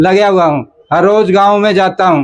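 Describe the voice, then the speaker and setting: A man is talking. His pitch is high. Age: 70s. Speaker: retired teacher. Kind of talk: testimony.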